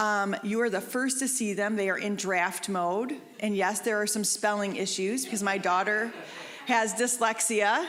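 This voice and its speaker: A woman speaks at a fairly slow pace with a medium pitch. Room echo is audible in the recording. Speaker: hospital social worker and counselor. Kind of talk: lecture. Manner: loud.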